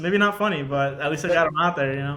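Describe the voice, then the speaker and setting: A man speaks at a very fast pace. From Georgia, US. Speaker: marine intelligence officer. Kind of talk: casual chat.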